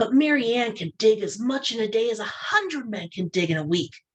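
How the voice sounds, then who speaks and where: This is a put-on character voice that sounds female. It sits at a fairly high pitch and moves at a fairly quick pace. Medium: read story. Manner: confident, earnest.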